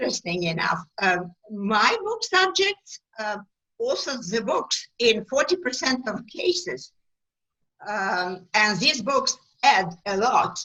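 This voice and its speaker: A woman at a very slow pace, her pitch swinging very widely. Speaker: talk show host. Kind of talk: interview host questions.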